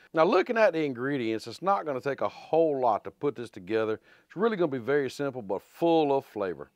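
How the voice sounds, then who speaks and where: Talking at a very fast pace, a man shows big swings in loudness, with a dry sound lacking echo over a quiet background. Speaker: home cooking channel host. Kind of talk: cooking tutorial chat. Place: garage.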